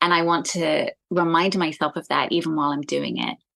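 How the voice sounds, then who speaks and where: Her vocal fry showing, a woman with an American accent talks at a moderate pace and fairly low pitch, with ordinary pitch variation. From South East London, England. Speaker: singer-songwriter. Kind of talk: podcast interview. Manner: casual, many fillers.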